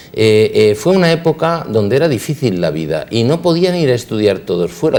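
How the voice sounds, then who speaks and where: Very wide pitch swings in a dark, mellow tone, with vocal fry. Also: man. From Spain, Elche (Valencian Community). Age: 60s. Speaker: dentist. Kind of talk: interview. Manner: halting, with repetitions.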